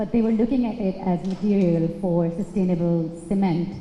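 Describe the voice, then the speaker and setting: Speaking at a moderate pace, a woman keeps her medium pitch on fairly even intonation against noticeable background noise. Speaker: audience member. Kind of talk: audience question. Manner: loud.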